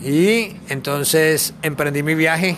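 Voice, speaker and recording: A man speaks at a very slow pace amid noticeable background noise, with audible echo in the room. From Colombia, Bogotá. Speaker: traveling backpacker. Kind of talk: interview.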